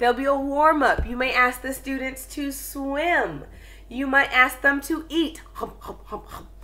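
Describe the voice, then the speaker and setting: A woman's raised, projected voice sounds high, bright and sharp. She keeps a moderate pace. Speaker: online ESL teacher. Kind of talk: tutorial.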